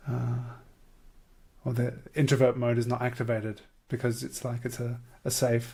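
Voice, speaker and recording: This man talks at a moderate pace, leaving long, frequent pauses. His medium-pitched voice is somewhat breathy and his intonation is monotone and flat. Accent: Australian. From Australia. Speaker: podcast host and portrait artist. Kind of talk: casual chat. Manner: halting.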